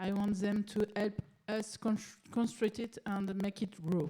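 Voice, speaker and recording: A woman with a French accent speaks at a very slow pace in a dark, mellow, somewhat breathy voice of medium pitch, her intonation monotone and flat. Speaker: city politician. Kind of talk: conference presentation. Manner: halting, many fillers.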